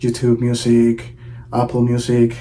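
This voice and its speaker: A man speaks at a very slow pace with a Venezuelan accent. His pitch is medium, and there is noticeable background noise. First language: Spanish. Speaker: drummer. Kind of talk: promotional video intro.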